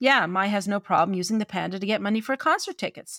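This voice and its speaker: On a very clean recording with a silent background, a woman with a Newfoundland accent speaks in an animated tone at a medium pitch with ordinary pitch variation. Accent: Newfoundland Canadian English. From Newfoundland, Canada (St. John's). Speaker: writer and literary editor, podcast co-host. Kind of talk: podcast discussion on story craft. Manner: animated, laughs often.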